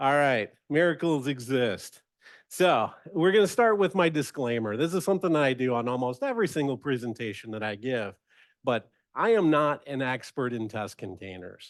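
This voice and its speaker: A loud man speaks at medium pitch with very wide pitch swings. He keeps a moderate pace against a quiet background. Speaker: software architect and presenter. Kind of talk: technical presentation.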